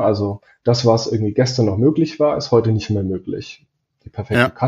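Somewhat breathy, a man of medium pitch talks at a moderate pace with ordinary pitch variation. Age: 30s. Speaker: performance marketing manager. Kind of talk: casual interview.

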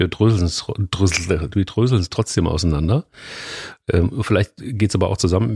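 A man talks at a very fast pace with a fairly low pitch and a dark, mellow tone. His voice is somewhat breathy, and the sound is dry and close with no echo. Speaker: podcast co-host, editor-in-chief. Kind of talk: casual chat. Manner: animated.

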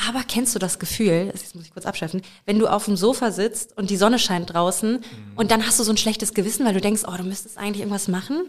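Speaking very fast at a medium pitch, a woman keeps her intonation fairly even while her loudness swings widely. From Lower Saxony, Germany (Bad Münder near Hameln). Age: 20s. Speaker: podcast co-host and part-time singer. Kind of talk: casual chat.

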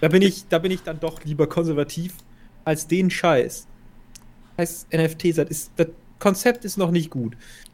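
A man's high-pitched voice at a moderate pace, with ordinary pitch variation and long, frequent pauses. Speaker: film podcast co-host. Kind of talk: casual chat.

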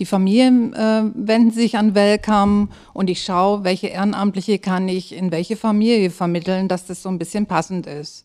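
A woman's dark, mellow voice at medium pitch, fairly even in intonation, at a moderate pace with hardly any pauses. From southern Germany, Böblingen (Swabia). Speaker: family-support project coordinator. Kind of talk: casual interview.

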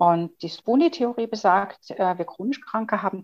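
A woman with a plain, everyday voice speaks at a fairly slow pace. Her intonation is lively. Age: 50s. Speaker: chronic pain patient and author. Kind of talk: interview.

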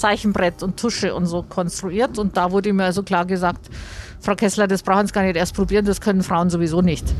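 A woman at a fairly quick pace, her intonation flat and monotone. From Bavaria, Mühldorf am Inn. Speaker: aerospace engineer and foundation founder. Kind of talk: interview. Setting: in a moving tram.

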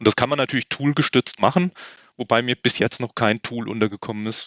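A man speaks at a fairly quick pace. He has a normal speaking voice with a medium pitch. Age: 50s. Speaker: medical device consultant. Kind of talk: expert interview.

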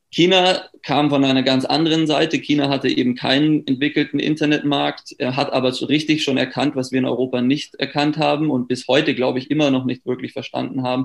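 Talking at a fairly quick pace with hardly any pauses, a man uses a fairly high, monotone, flat delivery. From Germany. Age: 30s. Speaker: startup founder. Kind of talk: interview. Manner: hesitant with many fillers.

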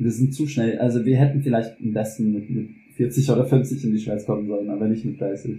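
The voice has a dark, mellow tone and sounds somewhat breathy. Delivery comes at a moderate pace with fairly even intonation. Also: man, medium pitch for a man. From US South, Louisiana. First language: English (speaking German). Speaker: German teacher. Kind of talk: personal testimony in a podcast interview. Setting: kitchen at home. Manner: halting, many fillers and repetitions.

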